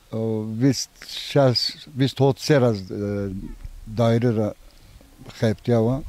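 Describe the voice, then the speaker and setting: With fairly even intonation and medium pitch, a man talks at a very slow pace over noticeable background noise. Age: 60s. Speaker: villager, retired civil servant. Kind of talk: casual interview.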